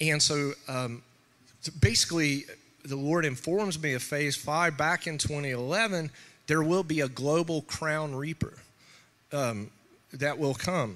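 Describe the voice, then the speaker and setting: At a very slow pace with long, frequent pauses, a man talks in a fairly high pitch with ordinary pitch variation and a bright, sharp tone. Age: 40s. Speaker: preacher. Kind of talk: sermon. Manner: halting.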